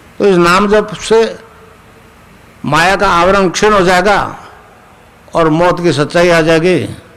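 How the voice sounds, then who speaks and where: Amid noticeable background noise and audible room echo, a man with a high pitch speaks in very even loudness and fairly even intonation, leaving long, frequent pauses. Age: 80s. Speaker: spiritual guru. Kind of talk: spiritual discourse. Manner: conversational, checking listeners with 'samjhe?'.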